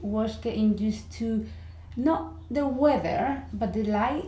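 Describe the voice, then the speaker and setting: Someone with a strong Spanish accent speaks at a very slow pace. Audible room echo surrounds the voice. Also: woman. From Spain, Madrid. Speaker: university language teacher. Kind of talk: interview.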